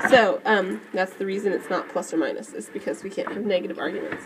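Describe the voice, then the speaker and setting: Noticeable background noise runs through the clip. A woman talks over it. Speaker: math teacher. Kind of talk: tutorial. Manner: hesitant, frequent fillers.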